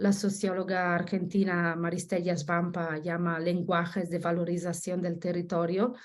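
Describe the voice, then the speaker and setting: A woman with an Italian accent speaks at a medium pitch and a moderate pace. Audible room echo surrounds her voice. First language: Italian (speaking Spanish). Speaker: researcher. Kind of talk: academic presentation. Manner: halting, many self-corrections.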